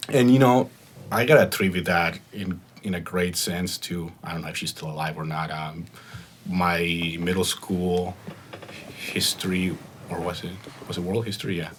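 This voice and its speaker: Over noticeable background noise, a man with a very deep, low pitch speaks at a moderate pace with ordinary pitch variation, long, frequent pauses and big swings in loudness. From Mexico. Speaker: podcast guest. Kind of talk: casual chat.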